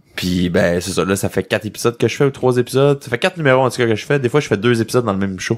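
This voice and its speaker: A man talks at a very fast pace with hardly any pauses. His medium-pitched voice has lively intonation. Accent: Quebec. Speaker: magician. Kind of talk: podcast interview. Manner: casual, repetitive stammering.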